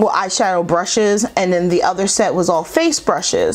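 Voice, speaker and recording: A woman speaks at a moderate pace and a medium pitch over noticeable background noise. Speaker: beauty YouTuber. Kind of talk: makeup tutorial. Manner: casual, chatty.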